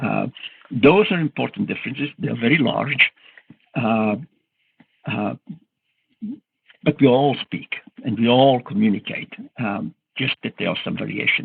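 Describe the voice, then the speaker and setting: A man talks with a strong Italian accent and lively intonation. He leaves long, frequent pauses. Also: medium pitch for a man, moderate pace. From Italy. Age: 70s. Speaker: cognitive scientist, professor. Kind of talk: interview. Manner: halting, many fillers.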